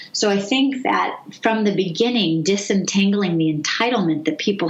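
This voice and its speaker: Over noticeable background noise and audible room echo, a woman with an American accent talks at a moderate pace with ordinary pitch variation. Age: 50s. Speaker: gerontology professor. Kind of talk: interview.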